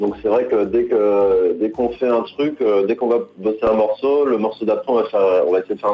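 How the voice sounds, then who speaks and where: There's a fairly quick pace to this man's speech. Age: 30s. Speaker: singer. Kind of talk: interview. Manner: halting.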